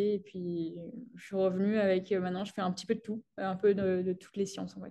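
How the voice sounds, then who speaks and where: A woman talks at a fairly quick pace with a medium pitch. Her intonation is monotone and flat, her tone dark and mellow. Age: 20s. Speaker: sports science PhD student. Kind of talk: interview. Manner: hesitant, many fillers.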